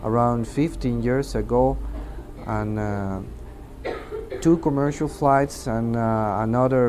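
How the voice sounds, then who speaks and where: Over noticeable background noise, a man of medium pitch speaks at a fairly slow pace with ordinary pitch variation. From Mexico. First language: Spanish. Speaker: air traffic controller. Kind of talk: testimony. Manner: halting.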